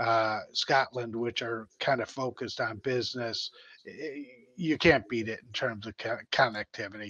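A man with an American accent speaks fairly slowly at medium pitch, his bright, sharp tone showing fairly even intonation and big swings in loudness, in a dry sound with no echo. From United States. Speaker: economic development official; panelist. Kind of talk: business presentation. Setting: video call. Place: home room.

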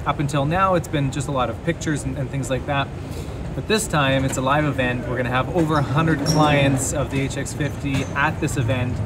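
At a moderate pace, a man talks over loud background noise. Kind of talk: casual vlog chat. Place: station. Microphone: phone near.

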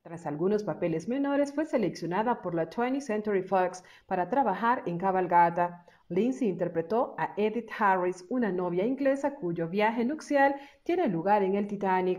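A plain, everyday voice from a woman at a medium pitch, with lively intonation and a moderate pace. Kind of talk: biography narration.

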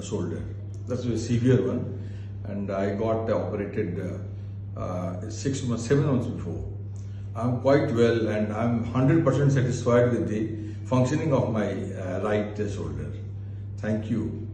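At a fairly slow pace and a fairly low pitch, a man talks with fairly even intonation over light background noise and audible room echo. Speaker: surgery patient. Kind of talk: patient testimonial. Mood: pleased, grateful. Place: office. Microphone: phone near.

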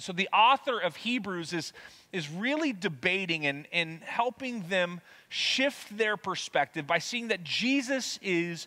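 Over a quiet background, a man talks at a moderate pace with a bright, sharp tone. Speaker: preacher. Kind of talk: sermon. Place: church.

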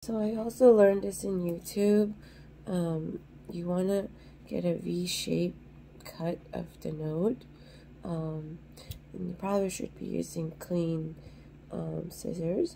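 Delivery comes at a very slow pace with long, frequent pauses and fairly even intonation. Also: woman, fairly low pitch for a woman. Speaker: home gardening video maker. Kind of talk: tutorial. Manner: hesitant, many fillers.

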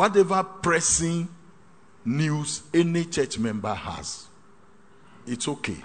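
A man's high voice, fairly slow, with lively intonation. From Ghana. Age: 60s. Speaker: pastor. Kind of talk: sermon. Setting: hall with live congregation. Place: hall.

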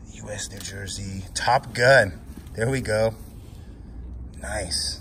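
A man speaks over loud background noise. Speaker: storage auction bidder and YouTube host. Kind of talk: casual vlog chat. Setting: on location at storage unit, with others present. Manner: animated, excitable, showman-like. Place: garage. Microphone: phone near.

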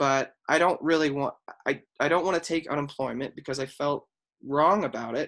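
This man has a plain, everyday voice. It runs fairly high in pitch, with fairly even intonation. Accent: American. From Colorado, Highlands Ranch. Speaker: former Marine and firefighter, athletic trainer. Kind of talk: interview.

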